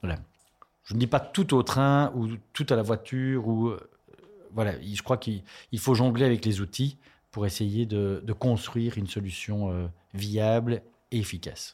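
The man's pitch is medium, with ordinary variation, and he goes at a fairly slow pace with long, frequent pauses. The recording is very clean, with a silent background. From Belgium, Charleroi. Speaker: politician and lawyer. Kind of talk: interview.

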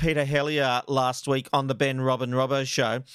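A moderate pace, with a dry, close sound with no echo, in a very clean recording with a silent background. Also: man. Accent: Australian. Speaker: podcast host. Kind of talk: casual chat; interview.

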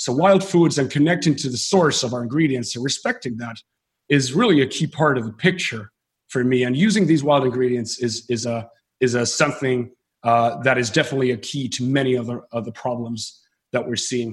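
This man's voice is somewhat breathy, set at a medium pitch with ordinary pitch variation. He talks at a fairly quick pace. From northern Finland. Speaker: entrepreneur and biohacker. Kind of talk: interview. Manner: hesitant with many fillers.

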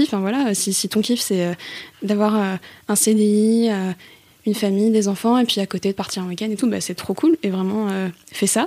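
A woman with a dark, mellow tone speaks at a medium pitch with fairly even intonation. Her pace is moderate, and her pauses are long and frequent. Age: 20s. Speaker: student and novelist. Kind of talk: testimony. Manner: halting.

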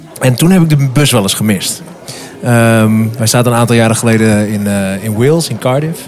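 With music in the background and audible room echo, a man talks at a moderate pace with ordinary pitch variation. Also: medium pitch for a man. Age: 30s. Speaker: café manager. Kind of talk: casual chat. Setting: restaurant / café.

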